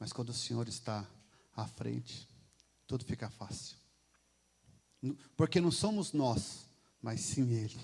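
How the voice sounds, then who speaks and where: A man's somewhat breathy voice sits at a medium pitch with ordinary pitch variation. He goes at a fairly slow pace with long, frequent pauses. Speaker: lay preacher. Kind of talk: sermon. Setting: church.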